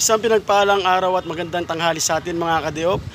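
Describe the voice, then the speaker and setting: A man talks at a fairly quick pace in a high pitch with fairly even intonation. Noticeable background noise sits behind him. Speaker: vlogger. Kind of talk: casual vlog talk and interview questions.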